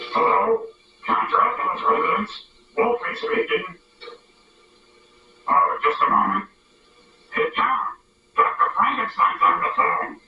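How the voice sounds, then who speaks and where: A man's put-on character voice, extremely high in pitch, fairly slow, with long, frequent pauses. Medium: comedy sketch.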